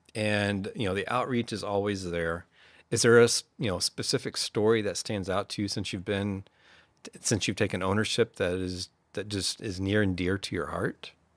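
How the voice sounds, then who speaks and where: In a very clean recording with a silent background and a dry, close sound with no echo, a man with a plain, everyday voice talks at a moderate pace, his pitch fairly low and his intonation fairly even. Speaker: podcast host. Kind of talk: interview conversation.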